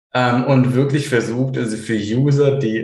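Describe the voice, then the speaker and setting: A man's medium-pitched voice, fairly even in intonation, with audible room echo. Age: 30s. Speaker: blogger and SEO consultant. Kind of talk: interview. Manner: halting, many fillers.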